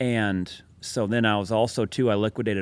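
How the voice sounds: A man speaks at a moderate pace in a fairly low, clear, smooth voice with fairly even intonation, on a very clean recording with a silent background.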